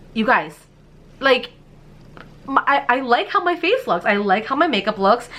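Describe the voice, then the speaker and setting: Over noticeable background noise, a woman speaks in an animated tone. Her pace is moderate. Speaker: beauty youtuber. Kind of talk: product review haul.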